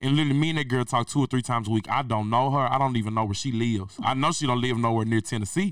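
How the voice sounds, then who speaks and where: The speech comes very fast in an animated tone, with ordinary pitch variation, very even loudness and hardly any pauses. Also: man, medium pitch for a man. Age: 20s. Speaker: podcast host. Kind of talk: casual chat.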